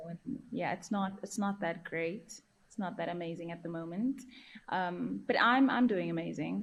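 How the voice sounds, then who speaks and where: In a South African accent, a woman with a fairly low pitch speaks at a moderate pace, using ordinary pitch variation and big swings in loudness. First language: Afrikaans. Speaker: journalist and field reporter. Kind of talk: casual podcast chat.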